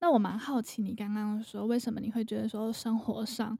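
The woman's voice has a dark, mellow tone. It also sounds somewhat breathy. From Taiwan. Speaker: podcast host and freelance English teacher. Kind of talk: casual interview chat.

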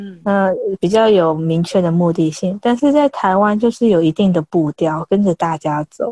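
A dark, mellow tone comes through a dry, close sound with no echo. The pace is moderate, and the pitch varies in an ordinary way. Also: woman. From Taiwan, outside Taipei. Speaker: freelance language tutor. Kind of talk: casual interview chat.

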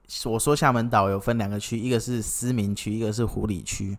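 In an ordinary speaking voice, a man talks at a moderate pace and a fairly low pitch with ordinary pitch variation on a very clean recording with a silent background. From Kinmen, Taiwan. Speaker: podcast co-founder, forum participant. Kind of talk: casual chat.

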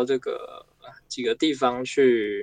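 A man speaks at a very slow pace. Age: 20s. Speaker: miniature clay food artist. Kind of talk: interview answers. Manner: calm, reserved.

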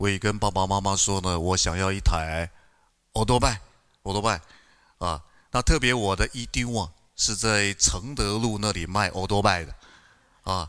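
A man with a bright, sharp tone and a fairly low pitch speaks at a moderate pace with ordinary pitch variation and long, frequent pauses, in a very clean recording with a silent background. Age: 50s. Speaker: pastor. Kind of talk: sermon. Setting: church. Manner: animated.

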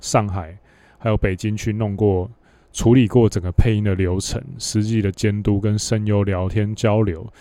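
A man's fairly low, dark, mellow voice at a fairly slow pace, with monotone, flat intonation. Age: 30s. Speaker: podcast host, dating coach. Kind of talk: solo Q&A monologue.

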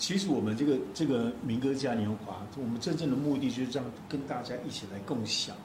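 This man talks at a fairly quick pace with hardly any pauses, in a medium pitch with ordinary pitch variation. Noticeable background noise runs underneath. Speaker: folk-pop singer. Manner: joking, humorous.

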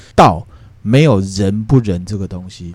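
Using a normal speaking voice, a man talks with ordinary pitch variation. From Taiwan. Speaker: podcast host explaining classical philosophy. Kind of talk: casual explanatory podcast chat.

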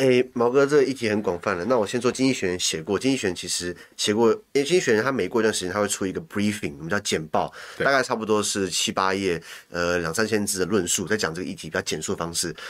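A man talks very fast with a fairly low pitch and ordinary pitch variation. The recording is very clean, with a silent background. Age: young. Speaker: podcaster and commentator on international news. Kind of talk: casual chat.

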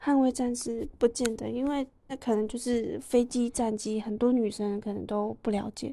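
A woman's fairly high, dark and mellow voice, fairly even in intonation, at a moderate pace with hardly any pauses. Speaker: podcast co-host. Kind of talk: casual chat.

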